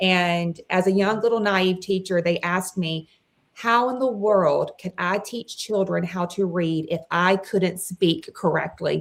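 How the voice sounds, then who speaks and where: In a Southern US accent, a woman talks at a fairly slow pace and a medium pitch. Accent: very Southern. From Mississippi. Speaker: former teacher, parent advocate. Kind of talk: interview. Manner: animated.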